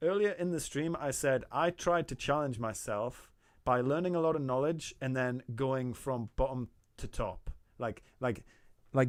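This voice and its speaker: A man with a Geordie accent, fairly slow and with lively intonation, on a very clean recording with a silent background. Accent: soft Geordie. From Newcastle, northern England. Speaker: artist streamer giving feedback. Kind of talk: live stream chat.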